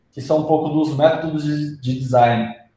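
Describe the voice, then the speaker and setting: With audible room echo around him, a man speaks at a fairly slow pace, fairly high in pitch and fairly even in intonation. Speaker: UX designer presenter. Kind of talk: lecture. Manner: halting, many fillers.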